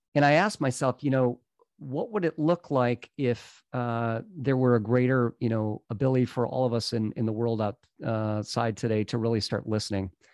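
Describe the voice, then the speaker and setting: A man with an American accent talks at a moderate pace in a medium pitch, with ordinary pitch variation. It is an ordinary speaking voice. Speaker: coach and company founder. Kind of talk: casual interview chat.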